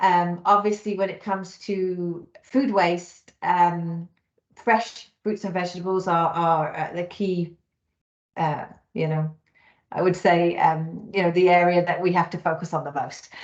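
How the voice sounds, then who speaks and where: Fairly low in pitch, a woman speaks with a British accent and fairly even intonation. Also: fairly slow pace. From United Kingdom. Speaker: talent solutions manager, recruiter. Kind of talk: webinar presentation.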